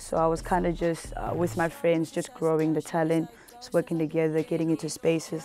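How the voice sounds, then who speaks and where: A woman with a South African accent, fairly low in pitch, fairly quick, with ordinary pitch variation. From Cape Town, South Africa. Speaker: rapper. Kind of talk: interview answer. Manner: casual.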